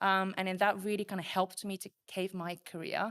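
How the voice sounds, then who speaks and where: A woman speaks with a Japanese accent in a very clean recording with a silent background. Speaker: program manager. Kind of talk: podcast interview.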